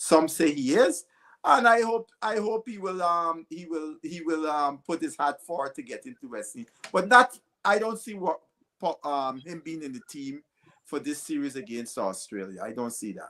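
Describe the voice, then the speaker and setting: Bright and sharp in tone, a man speaks at a moderate pace with a high pitch, very wide pitch swings and big swings in loudness. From Guyana. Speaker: cricket pundit. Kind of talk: panel discussion. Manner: halting, repeats words.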